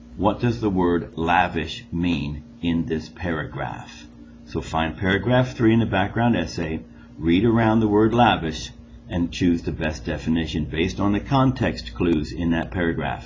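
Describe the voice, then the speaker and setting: A man with a very deep, low pitch and vocal fry speaks at a moderate pace with very wide pitch swings, with audible room echo. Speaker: school teacher. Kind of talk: recorded classroom test instructions.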